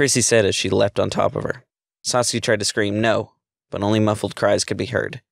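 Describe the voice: Against a quiet background, the voice is plain reading aloud with fairly even intonation.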